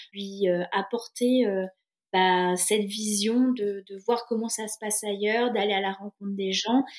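A woman's fairly high voice, with fairly even intonation and a very slow pace. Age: 30s. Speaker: single mother and traveller. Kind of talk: casual interview. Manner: hesitant, with many fillers.

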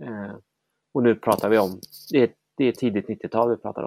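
Over a silent background in a very clean recording, a man speaks at a moderate pace with a fairly low pitch and vocal fry. The sound is dry and close with no echo, and his intonation stays fairly even. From small town in Sweden. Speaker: political commentator. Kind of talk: interview conversation.

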